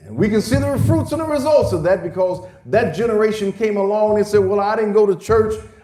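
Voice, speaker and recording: Over noticeable background noise and audible room echo, a man speaks at a fairly quick pace with a high pitch. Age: 60s. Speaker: pastor. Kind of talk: sermon. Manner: hesitant fillers and repetitions.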